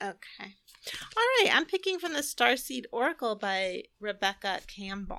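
A woman talks at a moderate pace in a high, bright, sharp voice that swings very widely in pitch. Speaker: podcast co-host, energy healer and spiritual coach. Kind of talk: casual chat. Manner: relaxed.

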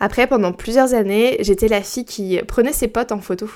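On a very clean recording with a silent background, a woman with an unremarkable speaking voice talks at a moderate pace with ordinary pitch variation. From Brittany, France. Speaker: podcast host. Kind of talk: solo casual podcast monologue. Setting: home recording at her mic.

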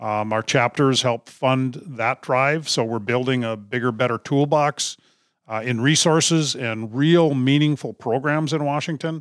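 With an Upper Midwest accent, a man speaks at a fairly slow pace with ordinary pitch variation, on a very clean recording with a silent background and a dry, close sound with no echo. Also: medium pitch for a man. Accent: Upper Midwest (Minnesota). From northern Minnesota, Duluth. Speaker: conservation nonprofit CEO. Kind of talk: interview.

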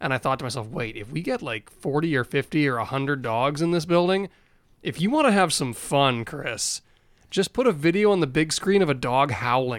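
A normal speaking voice with lively intonation moves at a fairly quick pace in a very clean recording with a silent background. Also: man, fairly high pitch for a man. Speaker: team radio broadcaster, co-host. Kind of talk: casual podcast chat.

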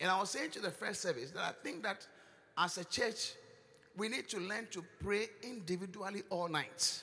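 A man with a Ghanaian accent speaks at a moderate pace in a high pitch, his tone bright and sharp and his pitch variation ordinary. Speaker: bishop preacher. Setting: church service with live congregation. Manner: teasing, chiding the congregation with laughter and repeated words; emphatic and repetitive, rising into loud intercessory prayer.

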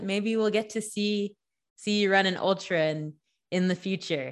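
In a plain, everyday voice, a woman speaks at a moderate pace and medium pitch with ordinary pitch variation and very even loudness against a quiet background. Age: 20s. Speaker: podcast host. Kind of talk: interview.

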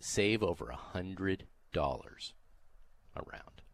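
A man with a very deep, low pitch speaks with vocal fry, recorded with a dry, close sound and no echo. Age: 60s. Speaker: golf radio host. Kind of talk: sports radio talk. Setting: radio studio.

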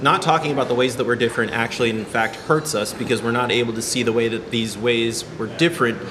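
In an American accent, someone speaks at a very fast pace over noticeable background noise. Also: man. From Iowa (Ames). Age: 30s. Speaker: musician. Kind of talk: casual chat. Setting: coffee shop.

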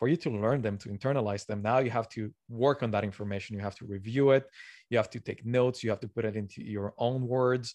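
A man with a Spanish accent at a very fast pace, medium pitch and fairly even intonation, against a quiet background. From Colombia. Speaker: learning science blogger. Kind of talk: interview.

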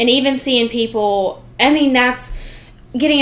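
In a Southern US accent, a woman speaks with lively intonation amid audible room echo. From US South. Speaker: student podcast host. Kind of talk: casual chat.

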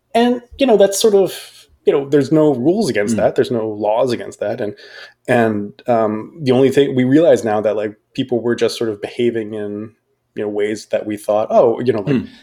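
A man with an American accent, medium in pitch, with a dark, mellow tone, lively intonation and a fairly quick pace. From US. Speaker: university professor. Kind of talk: casual chat. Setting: video call.

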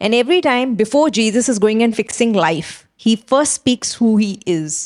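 A woman in a dry, close sound with no echo, on a very clean recording with a silent background. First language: not English. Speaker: pastor. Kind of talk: sermon.

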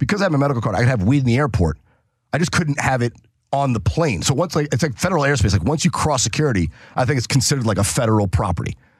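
Very fast and with vocal fry, a man talks at medium pitch. His pitch swings very widely while his loudness stays very even. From New Hampshire. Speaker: comedian. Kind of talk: casual chat.

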